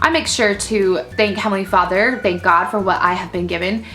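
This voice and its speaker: Music plays in the background while a woman speaks in an animated tone. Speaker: mommy vlogger. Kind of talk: casual vlog monologue. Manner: loud.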